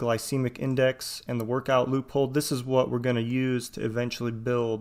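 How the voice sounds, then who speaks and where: With an American accent, a man speaks at a medium pitch in a monotone, flat intonation. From Iowa, US Midwest. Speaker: swim coach and radiologist giving webinar. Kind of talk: webinar presentation. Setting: online webinar.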